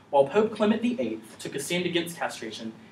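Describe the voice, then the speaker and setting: Amid light background noise and audible room echo, a man talks at a very fast pace with very wide pitch swings. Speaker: presenter. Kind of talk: conference presentation. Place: classroom. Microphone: camera far.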